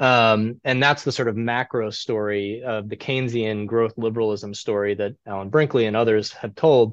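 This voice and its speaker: A man talks at a moderate pace with an American accent, at a medium pitch and with fairly even intonation, barely pausing. He has an unremarkable speaking voice, heard over a quiet background. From US Midwest (Cleveland, Ohio). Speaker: historian. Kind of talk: interview.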